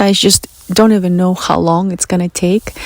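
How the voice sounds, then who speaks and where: Against noticeable background noise, a woman with a Russian accent speaks at a medium pitch with ordinary pitch variation. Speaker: spiritual podcast host. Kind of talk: personal monologue.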